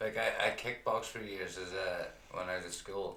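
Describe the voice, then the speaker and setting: A man speaks fairly slowly, and audible room echo surrounds his words. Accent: Derry. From Northern Ireland, County Derry. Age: 30s. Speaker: person in addiction recovery, amateur fighter. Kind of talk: interview testimony. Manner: blunt; halting.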